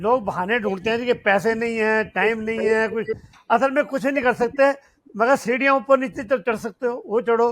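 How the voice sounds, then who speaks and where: This man's voice sits at an extremely high pitch. His pitch varies in an ordinary way. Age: 80s+. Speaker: fitness athlete. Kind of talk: interview.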